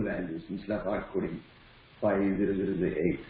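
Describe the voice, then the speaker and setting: A man talks at a very fast pace, and audible room echo can be heard. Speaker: student in training class. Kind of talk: question in online class. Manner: quiet.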